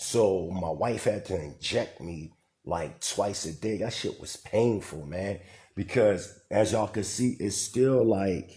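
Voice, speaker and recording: This man has a fairly low, somewhat breathy voice with ordinary pitch variation. His pace is very slow. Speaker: livestreamer / community leader. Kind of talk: casual livestream talk.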